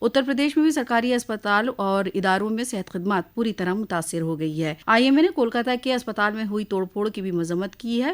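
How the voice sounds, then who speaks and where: An unremarkable speaking voice carries lively intonation with hardly any pauses. The recording is very clean, the background silent. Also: woman, fairly high pitch for a woman. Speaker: radio news reader. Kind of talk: radio news bulletin read.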